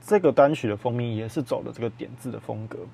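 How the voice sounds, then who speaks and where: A man's somewhat breathy voice at a medium pitch, with ordinary pitch variation and a moderate pace. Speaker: music podcast host. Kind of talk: casual solo talk about music.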